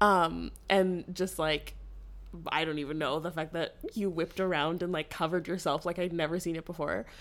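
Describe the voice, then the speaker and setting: A woman's fairly low-pitched voice with vocal fry and a Canadian accent, fairly even intonation and a moderate pace, in a very clean recording with a silent background. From Ottawa, Ontario, Canada. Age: 20s. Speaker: podcast co-host. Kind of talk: casual chat.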